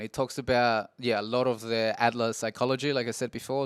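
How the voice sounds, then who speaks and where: Recorded very cleanly against a silent background, the dry, close sound with no echo carries a fairly quick voice with an Australian accent. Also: man. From Peru, moved to Australia at 7 or 8. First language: Spanish. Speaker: podcaster. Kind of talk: casual monologue podcast. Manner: halting, many fillers and restarts.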